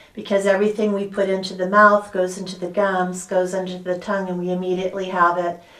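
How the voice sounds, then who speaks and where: This woman speaks with an American accent at a medium pitch. There is noticeable background noise. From US (San Francisco). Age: 60s. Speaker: sound healer and dental health coach. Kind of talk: interview. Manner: halting.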